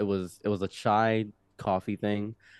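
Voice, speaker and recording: A man with an American accent speaks in an unremarkable speaking voice at a fairly low pitch and a moderate pace. The sound is dry and close with no echo, over a quiet background. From Egypt and Detroit. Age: 20s. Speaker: podcast guest telling life story. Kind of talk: casual interview storytelling. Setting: studio.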